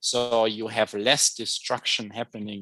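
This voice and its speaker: A man speaks at a moderate pace with a fairly low pitch. His tone is bright and sharp against a quiet background. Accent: German. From Germany. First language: German. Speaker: chemistry professor. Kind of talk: lecture. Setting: video call.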